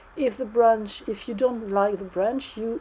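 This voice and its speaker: A woman's fairly high voice in a French accent, dark and mellow in tone, with ordinary pitch variation. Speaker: 3D modeling tutor. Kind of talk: tutorial. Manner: halting.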